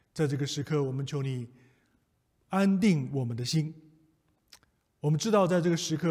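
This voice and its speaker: A somewhat breathy man talks at a moderate pace with ordinary pitch variation against a quiet background. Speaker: preacher leading prayer. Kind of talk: prayer. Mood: calm, solemn, reassuring. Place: church.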